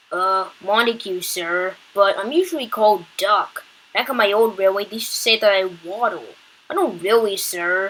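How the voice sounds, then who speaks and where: A woman's put-on character voice at a medium pitch and a moderate pace. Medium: read story. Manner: polite, respectful.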